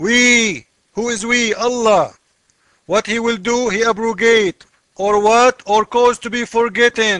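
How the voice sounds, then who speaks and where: A man speaks fairly slowly at an extremely high pitch, his tone bright and sharp. The sound is dry and close, with no echo. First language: not English. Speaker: religious commentator. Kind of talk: casual video commentary. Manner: animated.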